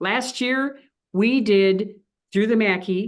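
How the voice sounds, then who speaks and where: The speaker uses ordinary pitch variation with an American accent. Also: woman. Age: 60s. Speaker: mayor. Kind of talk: radio interview. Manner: animated.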